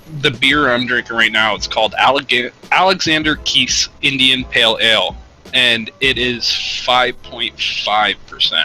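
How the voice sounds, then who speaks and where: With an American accent, a man talks at a moderate pace and medium pitch with ordinary variation, noticeable background noise behind him. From Canada, near the US border. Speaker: podcast guest. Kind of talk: casual chat.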